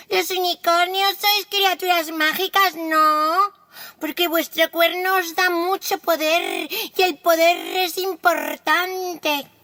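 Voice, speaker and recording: A female-sounding, put-on character voice speaks at an extremely high pitch and a very slow pace. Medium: read story.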